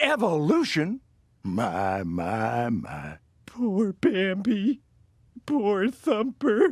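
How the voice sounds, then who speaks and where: Delivered at a very slow pace, this cartoonish character voice sits at a middle pitch in a very clean recording with a silent background. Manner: goofy, rambling.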